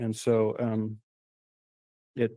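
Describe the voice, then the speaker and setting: The speaker is a man with a medium-pitched voice. His tone is dark and mellow. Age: 60s. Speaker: property owner and applicant. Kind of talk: public comment at city meeting.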